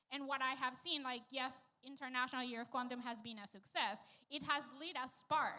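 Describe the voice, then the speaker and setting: A woman's raised, projected voice, high-pitched with a bright, sharp tone, fairly even intonation and a moderate pace. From Venezuela. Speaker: panelist, quantum scientist. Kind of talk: panel discussion.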